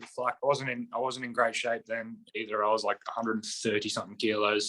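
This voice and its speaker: Talking very fast with an Australian accent, a man has a bright, sharp tone and fairly even intonation, and the sound is dry and close with no echo. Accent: Australian, kept it. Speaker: professional basketball player. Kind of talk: podcast interview. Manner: casual, many fillers.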